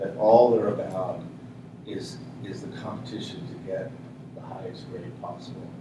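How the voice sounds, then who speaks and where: A man's fairly low voice at a moderate pace with very wide pitch swings, noticeable background noise and audible room echo. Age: 50s. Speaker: high school English teacher. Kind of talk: workshop self-introduction. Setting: room with workshop audience. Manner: halting, many repetitions and fillers.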